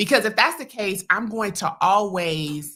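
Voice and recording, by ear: A woman speaks loudly in a bright, sharp tone with ordinary pitch variation.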